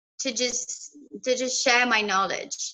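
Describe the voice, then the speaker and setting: Projecting a raised voice, a woman speaks at a high pitch and a fairly slow pace with ordinary pitch variation. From Ethiopia, Addis Ababa. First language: Amharic. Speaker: language teacher on YouTube. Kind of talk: casual interview.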